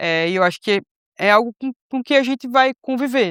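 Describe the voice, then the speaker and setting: A woman at a moderate pace, lively in intonation, on a very clean recording with a silent background and a dry, close sound with no echo. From Brazil, Recife, Pernambuco. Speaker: missionary. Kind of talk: casual chat. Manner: hesitant, many fillers.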